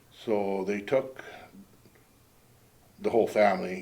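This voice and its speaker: A man speaks with a western Canadian accent at a moderate pace. His pitch is fairly low. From British Columbia interior, Canada. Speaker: local resident recalling history. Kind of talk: oral history interview.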